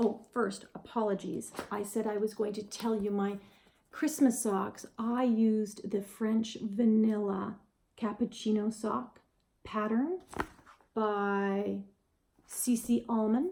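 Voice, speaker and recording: A woman with a Canadian accent speaks very slowly in a fairly high, somewhat breathy voice, her dark, mellow tone carried on fairly even intonation. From Western Canada. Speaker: knitting podcaster. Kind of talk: casual video podcast monologue. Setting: home video recording on camera.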